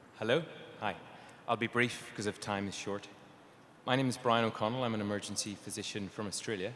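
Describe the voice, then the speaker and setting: A man with an Irish accent speaks at a fairly low pitch and a very fast pace. His intonation is fairly even, broken by long, frequent pauses. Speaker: emergency physician, audience member asking a question. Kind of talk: audience question.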